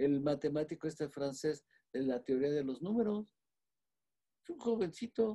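The sound is dry and close with no echo as a man with a fairly high pitch and a dark, mellow tone speaks at a moderate pace. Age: 80s+. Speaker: physician. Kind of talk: lecture-style explanation. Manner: halting, with frequent fillers.

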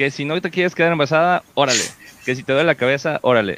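The sound is dry and close with no echo as a man speaks in a fairly high pitch. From Mexico, Puerto Vallarta (Pacific coast). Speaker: podcast host. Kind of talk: casual chat. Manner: animated.

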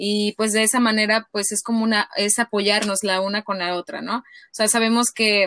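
A woman speaks at a fairly high pitch in a bright, sharp tone. The sound is dry and close, with no echo. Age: 30s. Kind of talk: casual interview. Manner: halting.

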